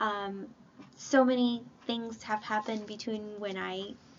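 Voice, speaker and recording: At a very slow pace, a woman with a non-native accent talks at a fairly high pitch in a monotone, flat intonation. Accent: non-native English, self-described imperfect. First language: not English (bilingual). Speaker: YouTuber. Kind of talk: casual chat.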